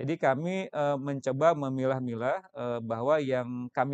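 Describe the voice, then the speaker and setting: Against a quiet background, a man with a plain, everyday voice speaks at a fairly high pitch and fairly slow pace, his intonation fairly even and the sound dry and close with no echo. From West Java, Indonesia. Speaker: senior government finance official. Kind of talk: interview explanation. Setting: studio.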